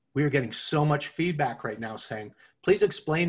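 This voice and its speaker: Moving at a moderate pace, a man's somewhat breathy voice shows ordinary pitch variation. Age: 50s. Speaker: podcast co-host. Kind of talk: casual chat.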